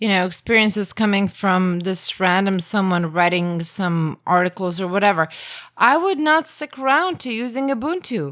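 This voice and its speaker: A woman at medium pitch with lively intonation and a moderate pace, on a very clean recording with a silent background. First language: Croatian. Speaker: podcast guest trying Linux. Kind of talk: casual chat.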